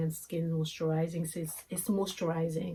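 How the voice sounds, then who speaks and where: Breathy to a degree, a woman with a non-native accent talks in a fairly low pitch with a dark, mellow tone. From Congo. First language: French or Lingala. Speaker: beauty vlogger. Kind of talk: product review. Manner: hesitant, many fillers; casual.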